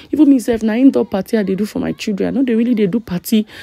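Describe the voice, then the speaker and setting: A woman speaks with a Nigerian accent in a dry sound with no echo. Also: quiet background. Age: young. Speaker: vlogger. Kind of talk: casual vlog talk to camera. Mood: excited, amused. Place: hall. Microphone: phone near.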